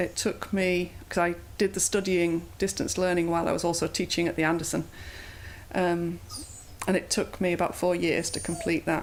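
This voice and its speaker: A woman's fairly low-pitched voice, monotone with flat intonation, very even loudness and a moderate pace. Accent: Yorkshire. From Bradford, England. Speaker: yoga instructor. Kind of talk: interview answer.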